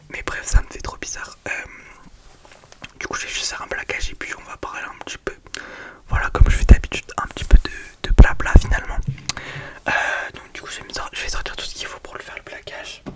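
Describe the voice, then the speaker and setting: Whispering at a fairly quick pace, a woman leaves long, frequent pauses while noticeable background noise carries on. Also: big swings in loudness. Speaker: ASMR youtuber. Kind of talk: ASMR whispered chat.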